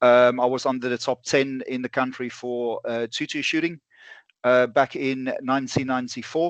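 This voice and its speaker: In a dry, close sound with no echo and a quiet background, a man with a South African accent speaks at a medium pitch with monotone, flat intonation. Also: moderate pace. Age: 40s. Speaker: bullet manufacturer and ballistics instructor. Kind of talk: podcast interview. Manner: halting, many fillers.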